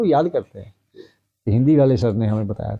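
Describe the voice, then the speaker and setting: A man with a Punjabi accent and lively intonation. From Punjab, India (Jalandhar district village). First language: Punjabi (speaking Hindi). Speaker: retired Hindi professor. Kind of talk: interview.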